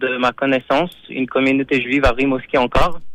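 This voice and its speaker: A man speaks at a moderate pace and medium pitch, the sound dry and close with no echo. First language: not French (speaking French). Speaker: Chabad rabbi / community emissary. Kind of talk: radio interview. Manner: halting, many repetitions.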